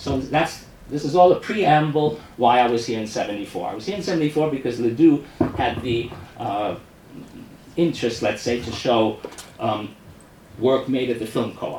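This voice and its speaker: A man with a strong New York accent speaks at medium pitch with lively intonation and long, frequent pauses. Noticeable background noise and audible room echo fill the recording. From US Northeast, New York City. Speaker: experimental filmmaker. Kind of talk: talk introducing a film screening. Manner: fast; halting, with frequent restarts.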